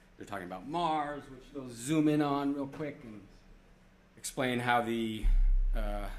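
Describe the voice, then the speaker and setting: A man speaks at a moderate pace, with audible room echo around him. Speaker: planetarium director giving a conference talk. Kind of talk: conference presentation. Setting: stage with audience. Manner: casual, with fillers.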